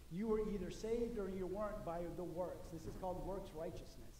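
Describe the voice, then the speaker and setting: Over light background noise and audible room echo, a man speaks in a high pitch with ordinary pitch variation. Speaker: pastor. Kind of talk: sermon. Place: church. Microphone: podium.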